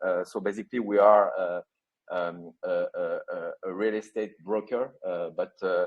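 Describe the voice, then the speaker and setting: A man speaks in a French accent. His pace is fairly slow. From France. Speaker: company CEO. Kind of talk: interview. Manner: halting, many fillers.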